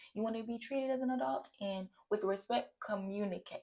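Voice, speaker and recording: With an American accent, a woman speaks at a fairly quick pace in an animated, somewhat breathy voice. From St. Louis, Missouri, US. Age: 20s. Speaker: content creator, student. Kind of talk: casual vlog monologue.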